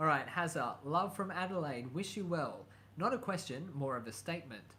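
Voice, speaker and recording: A man is speaking. Room echo is audible. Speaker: YouTuber. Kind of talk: live stream chat. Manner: hesitant, many fillers.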